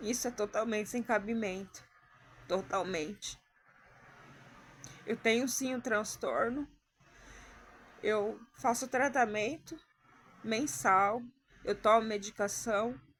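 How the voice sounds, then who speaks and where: A woman with a fairly high pitch talks very slowly, with ordinary pitch variation and long, frequent pauses. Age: 30s. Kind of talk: personal testimony to camera.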